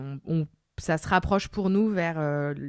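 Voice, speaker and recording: A woman with a bright, sharp tone and fairly low pitch speaks at a fairly slow pace with fairly even intonation, in a very clean recording with a silent background. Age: 30s. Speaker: lawyer and podcaster. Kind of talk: interview answer, personal story. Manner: casual, conversational.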